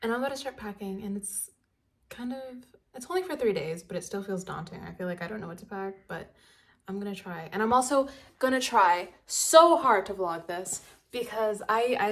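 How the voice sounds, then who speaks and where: Using lively intonation, a woman at medium pitch speaks with big swings in loudness. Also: moderate pace. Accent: American. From United States. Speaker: student vlogger. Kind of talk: casual vlog talk to camera. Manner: casual, filler-heavy.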